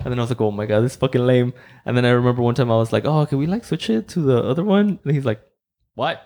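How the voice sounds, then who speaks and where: A man speaks very fast with a Spanish accent and a dark, mellow tone. His pitch is medium, with ordinary variation. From Mexico. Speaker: podcast host. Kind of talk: casual chat. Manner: relaxed, low energy.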